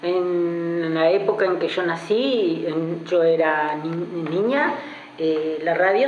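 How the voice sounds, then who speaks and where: The recording carries audible room echo and noticeable background noise as a woman speaks at fairly low pitch with ordinary pitch variation. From Argentina, Bahía Blanca. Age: 70s. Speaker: retiree. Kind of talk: interview. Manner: halting.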